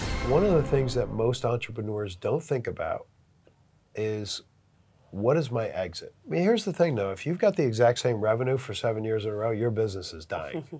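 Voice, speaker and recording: With an American accent, a man talks at a fairly quick pace and medium pitch, somewhat breathy, with lively intonation, on a very clean recording with a silent background. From US. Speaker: business consultant. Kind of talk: interview. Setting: on location in Vietnam.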